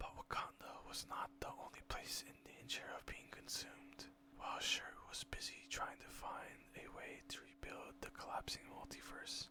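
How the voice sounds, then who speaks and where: Someone is whispering at a moderate pace. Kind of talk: ASMR whispered story reading. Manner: whispered.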